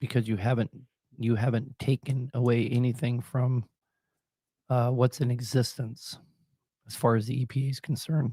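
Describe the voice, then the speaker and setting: The voice is dark, mellow and somewhat breathy, with monotone, flat intonation at a moderate pace. Long, frequent pauses break it up, and the sound is dry and close with no echo. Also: man, medium pitch for a man. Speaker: diesel mechanic show host. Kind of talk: live call-in advice.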